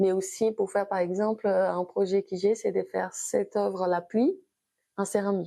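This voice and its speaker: A woman with a Brazilian accent at a moderate pace, over a quiet background. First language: Brazilian Portuguese (speaking French). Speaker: abstract painter. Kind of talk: interview. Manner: halting.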